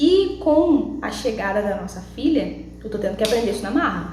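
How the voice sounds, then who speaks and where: A woman speaks in a high voice at a fairly quick pace, her pitch swinging very widely. Noticeable background noise and audible room echo surround her. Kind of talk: devotional vlog talk.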